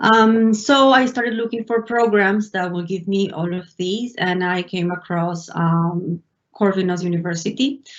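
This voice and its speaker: A woman with an American accent speaks at a medium pitch and a fairly slow pace, with ordinary pitch variation and hardly any pauses. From Ecuador / US. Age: 30s. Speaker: student. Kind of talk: presentation. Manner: halting, many fillers.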